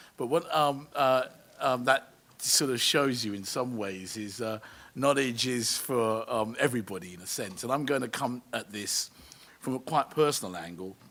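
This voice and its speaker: With a South London accent and a bright, sharp tone, a man's voice shows big swings in loudness. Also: medium pitch for a man, ordinary pitch variation, moderate pace. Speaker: education charity CEO. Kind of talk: panel debate talk. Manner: hesitant, many fillers and repetitions.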